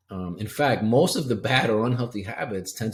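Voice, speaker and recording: A man talks with lively intonation at a medium pitch. His voice is somewhat breathy. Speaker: health coach. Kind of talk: webinar presentation. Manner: fast.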